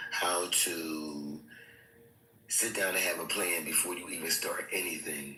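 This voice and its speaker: A man speaks at a fairly slow pace. Noticeable background noise and audible room echo are present. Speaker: aspiring content creator. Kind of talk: casual chat.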